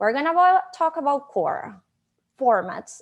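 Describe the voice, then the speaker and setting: Very wide pitch swings at a fairly slow pace, with a Venezuelan accent. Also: woman. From Venezuela, Maracaibo. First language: Spanish. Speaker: conference speaker, digital marketing manager. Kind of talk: conference presentation. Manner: animated.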